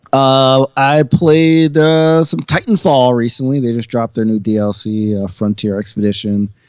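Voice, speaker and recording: The delivery is fairly slow, with lively intonation, in a normal speaking voice. The sound is dry and close, with no echo. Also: man. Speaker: podcast guest. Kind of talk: casual chat.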